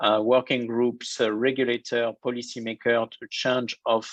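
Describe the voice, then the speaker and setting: A man speaks at a medium pitch. The sound is dry and close with no echo, over a quiet background. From France. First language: French. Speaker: banking innovation executive. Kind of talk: interview.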